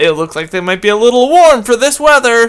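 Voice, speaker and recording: In a put-on character voice, a man speaks fairly quickly at an extremely high pitch with very wide pitch swings. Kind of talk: comic old grandma voice. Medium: game stream. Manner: warm, doting.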